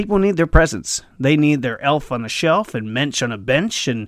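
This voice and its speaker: This very clean recording, with a silent background, captures a man speaking. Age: 30s. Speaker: vlogger, bartender and actor. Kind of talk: casual comedic monologue. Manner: animated.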